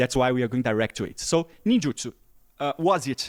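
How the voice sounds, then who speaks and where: Recorded very cleanly against a silent background, a man with a Portuguese accent speaks with lively intonation in a dry, close sound with no echo. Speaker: interviewer. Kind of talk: interview.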